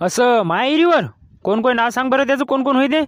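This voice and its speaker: Using a put-on character voice, a man sounds gruff at an extremely high pitch, talking at a fairly quick pace with ordinary pitch variation and very even loudness. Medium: cartoon. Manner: gruff, threatening.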